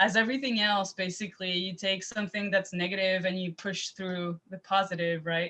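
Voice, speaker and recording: A woman with a Quebec accent, bright and sharp in tone, fairly quick with hardly any pauses, and with fairly even intonation. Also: medium pitch for a woman. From Quebec, Montreal area. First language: French. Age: 20s. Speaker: private chef. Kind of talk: interview. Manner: halting, many repetitions and fillers.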